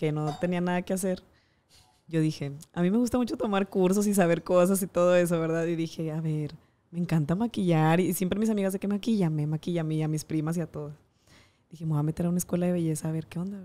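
Speaking at a very fast pace, a woman keeps a fairly low, dark, mellow voice with fairly even intonation. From Monterrey, Mexico. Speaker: TV presenter and makeup artist. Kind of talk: casual interview.

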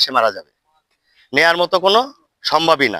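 A man with a high-pitched voice and a bright, sharp tone is recorded with a dry, close sound and no echo. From Barguna, southern Bangladesh. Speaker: local villager. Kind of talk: street interview.

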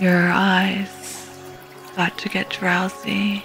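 A woman speaks with a monotone, flat intonation while clear music plays in the background. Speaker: VTuber; ASMR guide. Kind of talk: guided sleep meditation. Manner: slow, calm.

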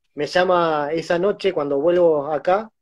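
With a Rioplatense accent, a man speaks in a high voice. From Argentina. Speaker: concert photographer and interviewer; interviewer. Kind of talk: casual interview. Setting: Instagram live video call. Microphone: video call.

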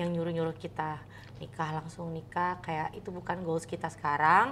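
A woman speaks at a moderate pace in a fairly low voice with fairly even intonation. Light background noise can be heard. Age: 30s. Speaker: content creator. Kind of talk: casual chat. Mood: warm, earnest. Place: home room.

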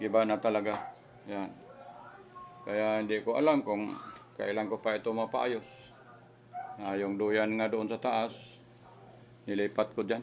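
A man talks slowly-ish, at a fairly slow pace and fairly low pitch, with monotone, flat intonation. Long, frequent pauses break his speech over noticeable background noise. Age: old. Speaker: vlogger. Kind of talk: home tour vlog. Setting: at home. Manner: halting.

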